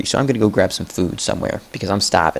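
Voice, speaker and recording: A man puts on a raspy character voice in a Boston accent, pitched fairly low. He talks at a very fast pace. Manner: mock-put-on accent.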